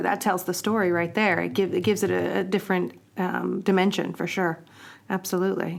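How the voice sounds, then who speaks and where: Vocal fry colors a woman's medium-pitched voice. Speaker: podcast host. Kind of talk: interview question.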